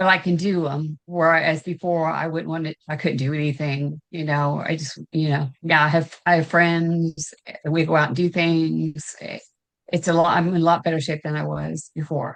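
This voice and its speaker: At a moderate pace, a woman with an American accent speaks in a very deep, low pitch and a flat, monotone intonation. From US South, Augusta, Georgia. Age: 60s. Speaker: weight loss client. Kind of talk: interview testimony. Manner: halting, many fillers.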